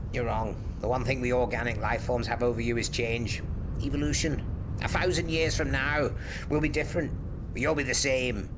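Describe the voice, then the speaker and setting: Over loud background noise, a man does a put-on character voice at a fairly quick pace. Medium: audio drama. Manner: brisk, quietly authoritative.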